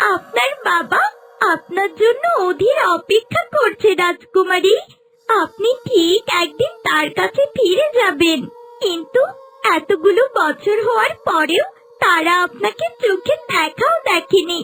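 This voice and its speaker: In a cartoonish character voice with an extremely high pitch, the speaker goes at a fairly slow pace. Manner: concerned, respectful.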